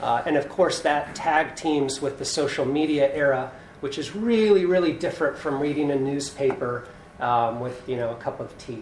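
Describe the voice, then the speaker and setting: At a moderate pace, a man talks in a plain, everyday voice, fairly high in pitch with ordinary pitch variation. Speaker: law professor panelist. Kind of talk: panel talk. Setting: in-person event with audience.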